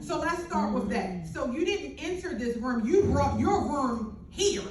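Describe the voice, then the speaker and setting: A loud woman with a high pitch and an animated tone speaks at a fairly slow pace, her pitch swinging very widely. Noticeable background noise and audible room echo surround her. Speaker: business owner speaking on a panel. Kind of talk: panel discussion talk. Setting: panel event with mic and audience.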